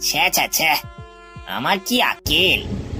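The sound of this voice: A put-on character voice with a bright, sharp tone and big pitch swings moves at a fairly slow pace over faint background music.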